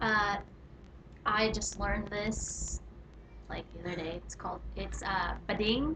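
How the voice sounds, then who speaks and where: A woman with an American accent talks at a fairly slow pace with long, frequent pauses. Audible room echo and noticeable background noise are present. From California. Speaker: vlogger. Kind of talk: casual chat.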